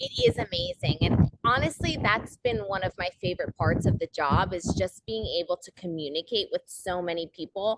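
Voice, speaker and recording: With a New Jersey accent, a woman talks at a moderate pace with lively intonation and hardly any pauses, in a dry, close sound with no echo. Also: medium pitch for a woman. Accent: American, New Jersey. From New Jersey, US. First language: Portuguese. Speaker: soccer club video host and producer. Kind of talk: interview.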